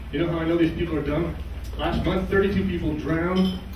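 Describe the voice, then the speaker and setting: A man talks at a moderate pace. Audible room echo and noticeable background noise surround him. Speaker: stand-up comedian. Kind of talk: stand-up comedy set of one-liners. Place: stage.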